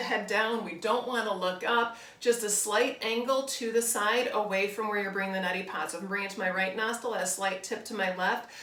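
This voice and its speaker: Over noticeable background noise and audible room echo, a woman talks at a very fast pace with a fairly high pitch. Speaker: bodywork and yoga teacher. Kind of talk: tutorial. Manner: calm, relaxed.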